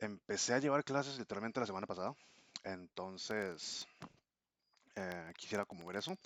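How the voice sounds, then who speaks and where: In a Costa Rican accent, a man with a fairly low pitch speaks at a moderate pace with long, frequent pauses, the sound dry and close with no echo. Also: ordinary pitch variation. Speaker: language learner vlogger. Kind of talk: casual vlog monologue. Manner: hesitant, many fillers.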